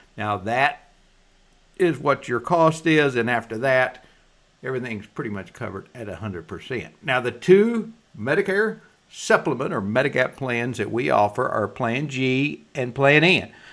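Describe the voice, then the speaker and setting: A normal speaking voice carries lively intonation at a moderate pace. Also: man, medium pitch for a man. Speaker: insurance agent. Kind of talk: explainer presentation. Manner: casual folksy.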